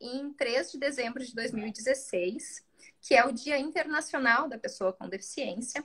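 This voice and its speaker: Speaking at a fairly slow pace, a woman uses a raised, projected voice that is high-pitched, bright and sharp, with ordinary pitch variation. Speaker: public defender. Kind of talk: live interview. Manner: hesitant.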